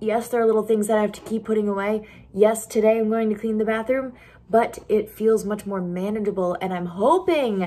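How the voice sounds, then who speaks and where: The pace is fairly quick. A woman speaks with fairly even intonation. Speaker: home vlogger. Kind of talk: casual vlog chat. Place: kitchen. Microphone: phone near.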